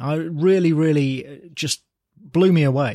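Here a man speaks with an English accent at a fairly high pitch. The recording is very clean, with a silent background. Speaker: comic book writer. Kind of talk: casual interview.

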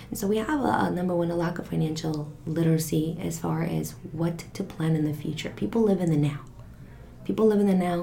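Amid noticeable background noise, a woman with a fairly low pitch speaks at a fairly quick pace with ordinary pitch variation. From Mexico. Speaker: financial coach. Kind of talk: interview.

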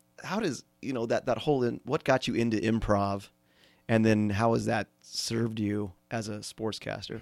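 A man speaks at a moderate pace and medium pitch, his intonation fairly even. Music plays in the background, and the sound is dry and close with no echo. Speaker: podcast host. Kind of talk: casual interview.

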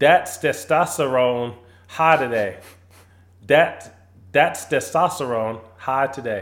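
Speaking at a very slow pace, a man leaves long, frequent pauses while his pitch varies in an ordinary way. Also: fairly high pitch for a man. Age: 40s. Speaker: sports podcast host. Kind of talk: casual chat.

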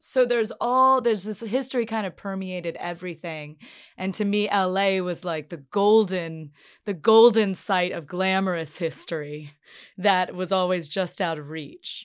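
Moderate pace with ordinary pitch variation. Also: woman, medium pitch for a woman. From US South, Chapel Hill, North Carolina. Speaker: podcast host, historical journalist and tour guide. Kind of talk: casual interview. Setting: studio.

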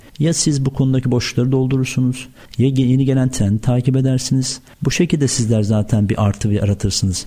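At a fairly quick pace, a man talks in a dark, mellow tone that is somewhat breathy. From Turkey, Afyon. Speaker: food trade entrepreneur. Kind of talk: radio interview.

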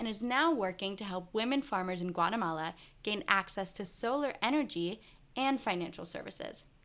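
A woman's unremarkable speaking voice with lively intonation at a fairly quick pace, on a very clean recording with a silent background. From grew up in the US, born in Israel. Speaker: podcast host. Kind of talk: scripted narration; interview.

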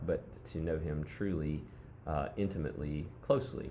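A man speaks at a moderate pace in a very deep, low voice. Room echo is audible. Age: 30s. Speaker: worship leader and musician. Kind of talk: casual chat.

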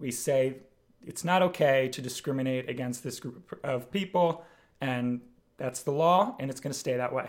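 A man with a normal speaking voice and an American accent, medium pitch, ordinary pitch variation, moderate pace, and big swings in loudness. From Pennsylvania, Bucks County (Philadelphia area). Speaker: local council member. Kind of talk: interview.

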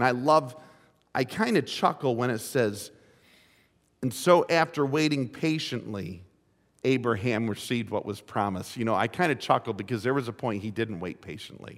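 An unremarkable speaking voice moves at a moderate pace with lively intonation. The recording is very clean, the background silent. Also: man, medium pitch for a man. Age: 50s. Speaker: pastor. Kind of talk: sermon. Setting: church.

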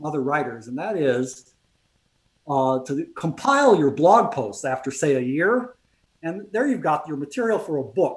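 The voice swings very widely in pitch. It moves at a moderate pace. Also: man. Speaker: writer and blogger.

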